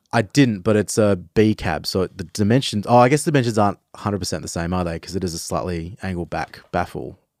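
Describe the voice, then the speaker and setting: A man with an Australian accent, fairly low in pitch, talking at a very fast pace with hardly any pauses, in a dry, close sound with no echo, on a very clean recording with a silent background. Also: ordinary pitch variation. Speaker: podcast host. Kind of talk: casual chat. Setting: studio.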